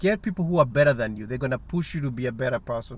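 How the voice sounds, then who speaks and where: At a very fast pace, a man with an African accent speaks with ordinary pitch variation. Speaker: vlogger and rideshare driver. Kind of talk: casual monologue vlog. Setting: sitting alone at night. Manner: halting, many restarts.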